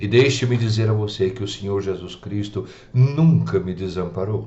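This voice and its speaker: A man speaks at a moderate pace in a fairly low, somewhat breathy voice with ordinary pitch variation. Audible room echo surrounds him. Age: 70s. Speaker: preacher. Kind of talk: radio sermon.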